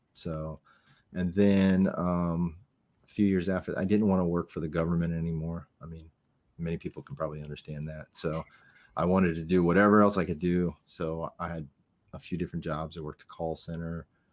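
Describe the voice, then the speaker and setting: A man's very deep, low voice with an American accent, monotone, flat intonation and a fairly quick pace. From US South, Miami, Florida. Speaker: navy veteran. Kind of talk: casual interview.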